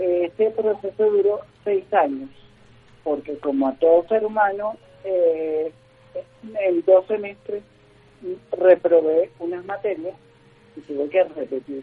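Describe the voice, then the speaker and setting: A high-pitched man speaks at a very slow pace with long, frequent pauses and ordinary pitch variation. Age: 30s. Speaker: motivational speaker and organizational consultant. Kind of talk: radio interview. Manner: halting, many fillers.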